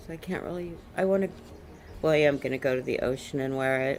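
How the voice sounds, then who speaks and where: With lively intonation, a woman talks fairly quickly. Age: 50s. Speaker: vlogger. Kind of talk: casual monologue.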